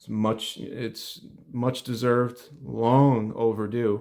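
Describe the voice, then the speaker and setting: A man's medium-pitched, monotone voice with flat intonation on a very clean recording with a silent background. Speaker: NFL film analyst. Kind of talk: solo film breakdown video. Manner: hesitant, many fillers.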